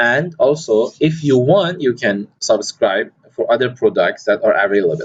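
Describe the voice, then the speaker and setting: A man at a moderate pace, with hardly any pauses and very even loudness. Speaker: software tutorial creator. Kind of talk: tutorial.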